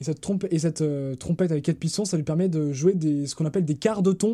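This man's voice sits high in pitch, with a dark, mellow tone and fairly even intonation. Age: 20s. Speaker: podcast host. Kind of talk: casual chat. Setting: remote recording.

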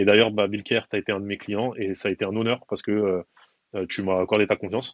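The man talks at a fairly quick pace with a fairly low pitch and monotone, flat intonation. The sound is dry and close with no echo, and the background is quiet. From Paris, Belleville (19th arrondissement). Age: 30s. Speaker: personal branding consultant. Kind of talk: casual interview.

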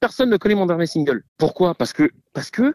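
Dark and mellow, a man's voice moves at a fairly quick pace with very wide pitch swings. The sound is dry and close, with no echo. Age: 40s. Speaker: singer and producer. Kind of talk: interview.

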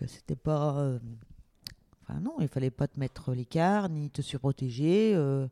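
With a dark, mellow tone and a very deep, low pitch, a woman speaks at a fairly slow pace with long, frequent pauses and ordinary pitch variation, the sound dry and close with no echo. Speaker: host's mother. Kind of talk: casual interview.

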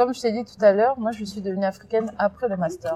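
It is an ordinary speaking voice. Delivery is fairly quick, and the pitch varies in an ordinary way. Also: woman. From France, Seine-et-Marne (left DR Congo at 7). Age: 20s. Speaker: youth education mentor. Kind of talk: interview testimony. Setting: outdoors.

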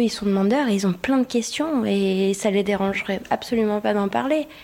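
Her tone is dark and mellow at a medium pitch. The woman speaks at a fairly slow pace. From Kosovo. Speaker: podcast guest, Kosovar woman. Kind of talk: public panel discussion. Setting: live event with audience.

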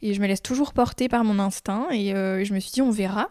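A woman with a plain, everyday voice talks at a fairly slow pace and a fairly high pitch. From France, Chartres. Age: 20s. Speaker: home renovator. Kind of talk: casual chat. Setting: at home.

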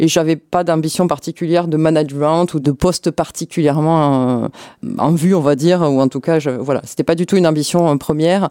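Her pitch very deep and low, a woman speaks with very even loudness and fairly even intonation. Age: 50s. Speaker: hospital pharmacy department head. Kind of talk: interview. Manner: hesitant, many fillers.

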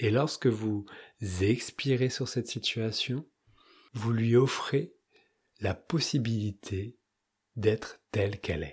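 A man's somewhat breathy, calm voice at medium pitch with ordinary pitch variation, a very slow pace and long, frequent pauses, on a very clean recording with a silent background. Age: 30s. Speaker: spiritual podcast host. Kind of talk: spiritual talk; guided meditation.

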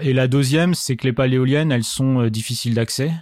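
The man has an ordinary speaking voice, medium in pitch, and talks at a fairly quick pace. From Marne, Champagne-Ardenne, France. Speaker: drone company founder. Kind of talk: interview. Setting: apartment recording.

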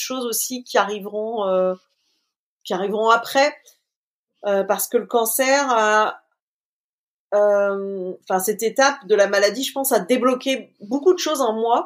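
A woman speaks at a fairly slow pace, her fairly high pitch moving with ordinary variation. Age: 40s. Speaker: community manager, cancer survivor. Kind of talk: interview.

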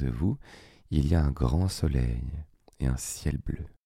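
In a calm, soothing tone, a man with a very deep, low pitch speaks at a fairly slow pace, his somewhat breathy voice dark and mellow with ordinary pitch variation. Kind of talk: guided meditation. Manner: slow, calm, soothing; gently pausing, spaced-out phrasing with long silences.

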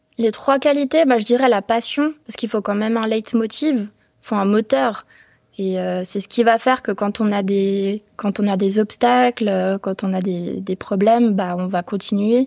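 At a fairly slow pace, a woman talks in a medium pitch with ordinary pitch variation, the sound dry and close with no echo. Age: 20s. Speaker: entrepreneur. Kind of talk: interview. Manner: hesitant, many fillers.

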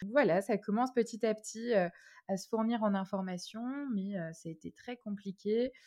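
A woman with a fairly high voice and a dark, mellow tone speaks at a moderate pace, with ordinary pitch variation and big swings in loudness. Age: 20s. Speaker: concierge business owner. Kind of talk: interview. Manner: hesitant, many fillers.

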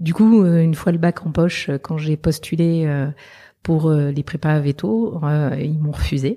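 At a very slow pace, a woman talks in a very deep, low pitch with a dark, mellow tone. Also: ordinary pitch variation, very clean recording, silent background. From southern France. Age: 40s. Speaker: veterinarian. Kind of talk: interview. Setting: meeting room in Paris.

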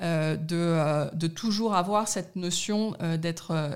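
Against a silent background, the recording is very clean. A woman's fairly low voice holds fairly even intonation. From Paris, France (partly raised in Middle East). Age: 40s. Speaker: corporate sustainability director. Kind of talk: interview. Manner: hesitant, many fillers.

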